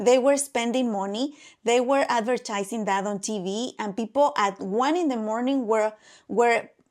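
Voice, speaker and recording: At a moderate pace, a woman speaks in a fairly high pitch on a very clean recording with a silent background. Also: ordinary pitch variation. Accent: Mexican. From Mexico. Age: 40s. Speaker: podcast co-host. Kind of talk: casual chat. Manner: animated.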